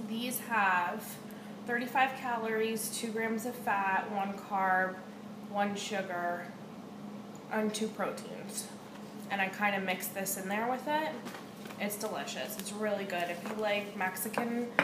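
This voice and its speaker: A woman speaks with long, frequent pauses. Noticeable background noise runs underneath. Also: fairly slow pace. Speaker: home vlogger. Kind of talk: casual vlog chat. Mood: relaxed, chatty, occasional swearing. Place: kitchen. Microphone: webcam.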